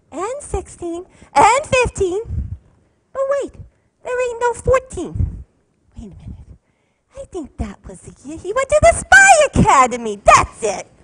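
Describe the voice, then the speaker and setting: Putting on a playful character voice at an extremely high pitch, the speaker swings very widely in pitch at a moderate pace, leaving long, frequent pauses. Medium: stage play. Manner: playful, boastful, jokey.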